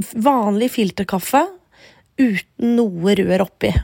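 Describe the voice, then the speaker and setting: At a very slow pace, a woman speaks at a medium pitch with a dark, mellow tone and fairly even intonation. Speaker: podcast host. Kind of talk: casual chat. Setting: in bed at home.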